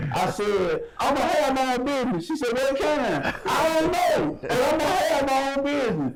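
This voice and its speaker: With a Southern US accent, a man talks at an extremely high pitch with lively intonation, very even loudness and hardly any pauses, amid audible room echo and noticeable background noise. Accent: Southern drawl. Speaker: talk show host and minister. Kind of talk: panel discussion, testimony. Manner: fast.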